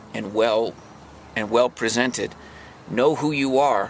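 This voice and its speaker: Very slowly, a man speaks at a medium pitch. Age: 50s. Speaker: house painter and singer-songwriter vlogger. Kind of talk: casual vlog monologue. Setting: parked in his truck. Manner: halting, many fillers.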